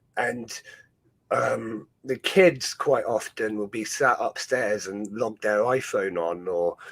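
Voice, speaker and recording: A man talks with a Dorset accent. His pace is very slow. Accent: Dorset farmer style. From Dorset, southwest England. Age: 30s. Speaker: ant-keeping streamer. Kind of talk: casual chat. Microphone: new microphone.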